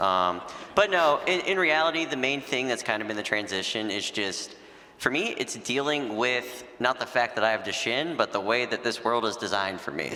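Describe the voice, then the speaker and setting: There is noticeable background noise as a man speaks at a moderate pace with lively intonation. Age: 20s. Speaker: panelist living with Duchenne. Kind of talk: panel discussion. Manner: casual, conversational.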